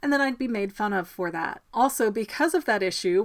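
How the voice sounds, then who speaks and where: A woman mumbles at a moderate pace and medium pitch. Her pitch varies in an ordinary way, and the recording is very clean with a silent background. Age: 30s. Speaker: mental health vlogger sharing personal experience. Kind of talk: personal reflection monologue. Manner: mumbling.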